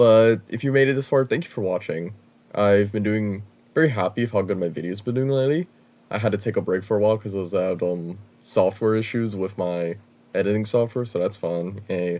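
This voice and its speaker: Over a quiet background, a man's dark, mellow tone moves with ordinary pitch variation. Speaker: gaming content creator. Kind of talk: gaming commentary. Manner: casual, filler-heavy.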